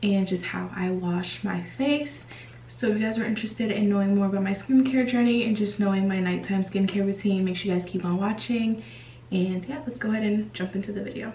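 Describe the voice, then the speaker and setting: A woman speaks at a fairly quick pace with ordinary pitch variation. There is audible room echo and light background noise. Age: 20s. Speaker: beauty vlogger. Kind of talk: casual talk to camera. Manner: friendly, conversational. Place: bathroom. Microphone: phone near.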